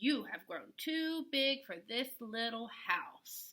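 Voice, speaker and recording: Speech is delivered at a very slow pace. It comes in a put-on character voice. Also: woman, high pitch for a woman. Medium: read story.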